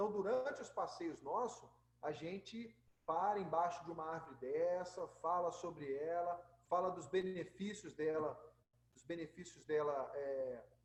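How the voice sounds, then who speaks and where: Delivered at a fairly slow pace, a man's high-pitched voice shows ordinary pitch variation and big swings in loudness. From Rio de Janeiro, Brazil. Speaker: nature tour guide. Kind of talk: live slide presentation. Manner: casual, hesitant.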